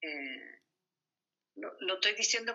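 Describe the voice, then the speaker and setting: In a Chilean accent, a woman speaks at a moderate pace. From Chile, Santiago. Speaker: mother of the host. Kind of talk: family interview.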